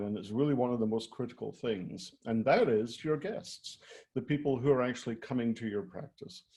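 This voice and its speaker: At a fairly quick pace, a man with a Scottish accent speaks in a medium pitch with a dark, mellow tone. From Scotland. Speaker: retail design executive. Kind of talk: presentation.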